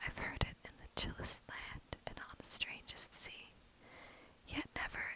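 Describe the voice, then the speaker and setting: Over noticeable background noise, a whispered voice moves at a fairly slow pace. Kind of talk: poetry reading. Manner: quiet, soft-spoken.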